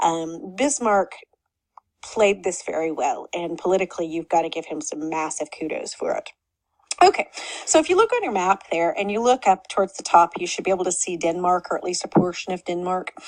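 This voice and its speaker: Speaking at a fairly quick pace in an Oklahoma accent, a woman shows big swings in loudness and ordinary pitch variation in a dry, close sound with no echo. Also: medium pitch for a woman. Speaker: history teacher. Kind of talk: lecture. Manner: casual, conversational.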